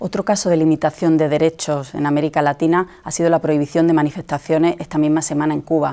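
Very fast and with hardly any pauses, a woman talks in a very deep, low voice, dark and mellow, with monotone, flat intonation and very even loudness. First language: Spanish (speaking Portuguese). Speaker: newspaper journalist interviewer. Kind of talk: interview.

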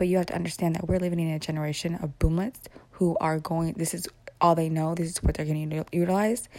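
A woman speaks very fast with a fairly low pitch. Her tone is dark and mellow, and her intonation stays fairly even. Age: 30s. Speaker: podcaster and mother. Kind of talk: casual monologue. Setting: at home in the morning. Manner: rambling run-on speech.

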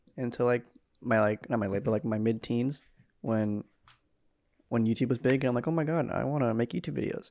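Against a quiet background, a man with an unremarkable speaking voice talks at a fairly quick pace, with a medium pitch and ordinary pitch variation. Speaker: podcast host. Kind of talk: casual chat. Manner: joking, sarcastic.

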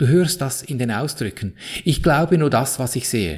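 Over a silent background on a very clean recording, a man with a Swiss German accent speaks at a fairly slow pace, somewhat breathy, with very wide pitch swings. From Switzerland. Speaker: podcast host, spiritual coach. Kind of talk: motivational monologue.

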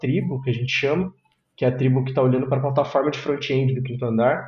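A man speaks at medium pitch in a somewhat breathy voice. His intonation stays monotone and flat. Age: 30s. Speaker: software engineering manager. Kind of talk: casual interview chat.

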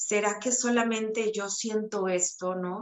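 Her delivery is monotone and flat, very slow, with a medium-pitched woman's voice. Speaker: author and self-knowledge coach. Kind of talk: testimony.

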